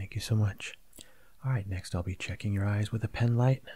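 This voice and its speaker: Soft-spoken and somewhat breathy, a man talks at a moderate pace in a fairly low pitch with fairly even intonation. His tone is dark, mellow and gentle, and the sound is dry with no echo. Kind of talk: role-play medical exam talk to the viewer. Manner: soft, gentle ASMR speaking voice. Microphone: webcam.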